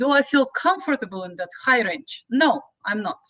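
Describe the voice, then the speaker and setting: At a fairly slow pace, a woman speaks with a high pitch and lively intonation. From Ukraine. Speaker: opera singer. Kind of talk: interview conversation. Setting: live podcast. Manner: halting, non-native phrasing.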